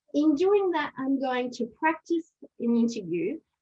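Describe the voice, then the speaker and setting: Lively intonation with a French accent. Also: woman. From France. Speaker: aid and development leader, panelist. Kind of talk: panel discussion. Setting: webinar video call. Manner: hesitant, many fillers.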